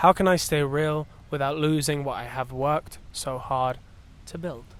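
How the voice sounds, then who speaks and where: Here is a man with an ordinary speaking voice, fairly high in pitch. He speaks at a moderate pace with fairly even intonation. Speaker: singer. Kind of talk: reading a card aloud.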